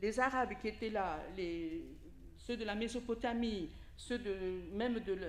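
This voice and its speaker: Room echo surrounds a woman whose pitch is fairly high. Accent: Italian. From Italy. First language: Italian (speaking French). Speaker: preacher. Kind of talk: sermon.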